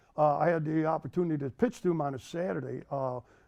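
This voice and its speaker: An American-accented man with a fairly high pitch, dark and mellow tone, ordinary pitch variation and a fairly quick pace, over a quiet background. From Rochester, New York. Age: 80s+. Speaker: senior softball player and coach. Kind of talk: interview answer.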